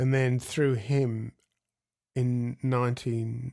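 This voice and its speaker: With an Australian accent, a man speaks in a medium-pitched, dark and mellow voice with monotone, flat intonation on a very clean recording with a silent background. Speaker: jazz guitarist. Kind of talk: interview.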